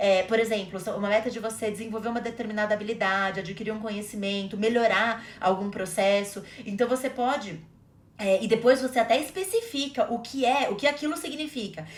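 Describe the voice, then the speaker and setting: Over noticeable background noise, a woman with a fairly high voice speaks at a fairly quick pace. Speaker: podcast co-host. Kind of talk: casual conversational podcast chat.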